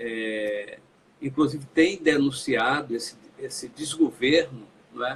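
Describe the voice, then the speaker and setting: A man speaks at a very slow pace in a fairly high pitch. His tone is bright and sharp, with lively intonation. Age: 60s. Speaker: politician. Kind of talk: interview.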